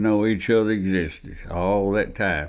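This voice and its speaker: In an Alabama accent, a man speaks at a fairly low pitch. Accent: Southern US (Alabama). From US South, Alabama near Birmingham. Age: 80s+. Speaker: oral history storyteller. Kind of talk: oral history interview. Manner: casual, halting.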